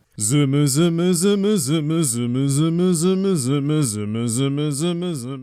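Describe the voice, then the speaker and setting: Using a put-on character voice, a man speaks very slowly with a fairly high pitch. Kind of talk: character voice cameo.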